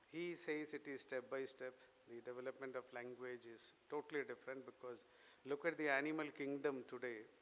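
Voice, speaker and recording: In a Keralan accent, a man at medium pitch talks with monotone, flat intonation. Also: fairly quick pace. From Kerala, India. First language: Malayalam. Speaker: invited speaker. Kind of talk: speech.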